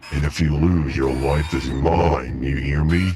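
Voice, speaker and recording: In a put-on character voice, a man talks slowly at a very deep, low pitch. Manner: threatening, taunting.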